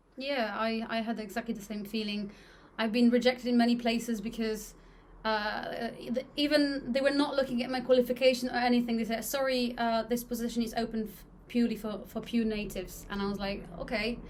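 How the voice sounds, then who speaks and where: A woman with a Polish accent talks at a fairly quick pace and a fairly high pitch, her intonation monotone and flat. Her loudness swings widely, and the room adds audible echo. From Poland. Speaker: podcast host, English teacher. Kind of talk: casual chat.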